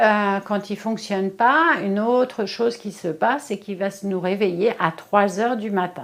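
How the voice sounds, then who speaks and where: The recording is very clean with a silent background. A woman speaks at a fairly slow pace and medium pitch. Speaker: face yoga and Chinese energetics practitioner. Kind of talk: tutorial. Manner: casual, hesitant.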